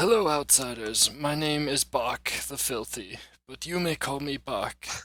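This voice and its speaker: A man puts on a raspy character voice at a fairly high pitch and a fairly slow pace. The recording is very clean, with a silent background. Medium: actual play. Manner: patient, welcoming.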